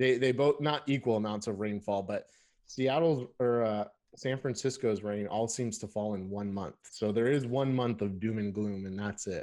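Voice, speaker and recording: In a plain, everyday voice with an American accent, a man speaks at a moderate pace with ordinary pitch variation against a quiet background. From Southern California (Lancaster, Antelope Valley). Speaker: IT pre-sales engineer, podcast co-host. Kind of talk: casual chat. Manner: laughs often, relaxed.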